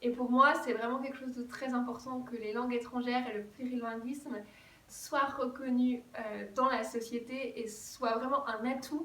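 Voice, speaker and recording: A woman with a high pitch talks at a moderate pace. Audible room echo and noticeable background noise fill the recording. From France. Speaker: German teacher and vlogger. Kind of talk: vlog monologue.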